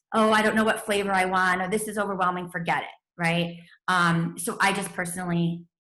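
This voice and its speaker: A woman talks at a fairly quick speed, and audible room echo surrounds her. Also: medium pitch for a woman. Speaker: network marketing team leader. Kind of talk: training webinar. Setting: video call with screen share. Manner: fast; animated.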